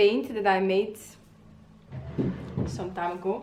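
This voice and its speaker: A woman with an Italian accent speaks at a medium pitch and a very slow pace, with audible room echo. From Italy. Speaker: illustrator. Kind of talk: casual vlog tutorial. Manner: hesitant, many fillers.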